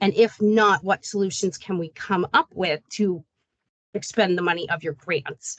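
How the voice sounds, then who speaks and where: The woman's medium-pitched voice has ordinary pitch variation and a dry, close sound with no echo. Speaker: state program staff presenting to grantees. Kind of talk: online meeting presentation. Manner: fast.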